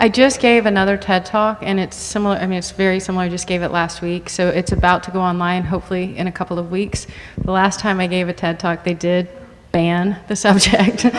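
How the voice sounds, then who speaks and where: Flat, monotone speech from a woman with an American accent, medium in pitch and fairly quick, over noticeable background noise. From Texas. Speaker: food advocate and speaker. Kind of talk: panel discussion with audience Q&A.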